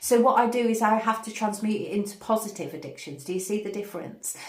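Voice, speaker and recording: A woman speaks at a very fast pace with a fairly high pitch. Audible room echo and noticeable background noise surround her voice. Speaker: spiritual channel host, meditation teacher. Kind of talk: spiritual guidance talk to camera. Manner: energetic, hyperactive.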